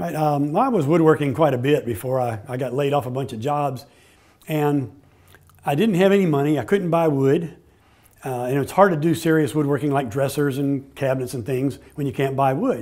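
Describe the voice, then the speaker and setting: Over a quiet background, a man talks with ordinary pitch variation at a moderate pace. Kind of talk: interview answer. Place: workshop. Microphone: lapel.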